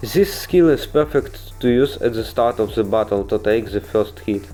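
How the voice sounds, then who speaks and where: A man speaks at a moderate pace with a non-native accent, music playing in the background. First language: not English. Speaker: gaming video creator. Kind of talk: game guide voiceover. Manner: casual, humorous.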